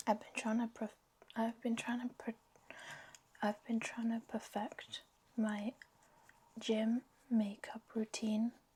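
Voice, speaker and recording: A woman talks at a very slow pace in a fairly high, somewhat breathy voice, leaving long, frequent pauses. Her intonation stays monotone and flat. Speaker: lifestyle vlogger. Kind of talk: casual vlog chat. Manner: whispering.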